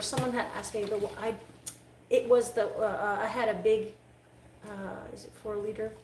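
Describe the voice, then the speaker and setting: With audible room echo, a woman in a Quebec accent speaks fairly quickly at a fairly high pitch with fairly even intonation. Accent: Canadian French. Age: 30s. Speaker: dog groomer. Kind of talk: live-stream grooming tutorial. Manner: casual, halting.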